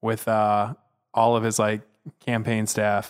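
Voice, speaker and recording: In a very clean recording with a silent background, a man of medium pitch speaks at a moderate pace in a plain, everyday voice. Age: 20s. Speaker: podcast guest. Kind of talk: casual chat.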